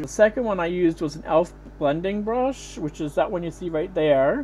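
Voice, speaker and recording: Her voice sits at a fairly low pitch, and this woman uses ordinary pitch variation. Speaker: beauty vlogger. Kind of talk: makeup tutorial voice-over. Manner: casual, rambling.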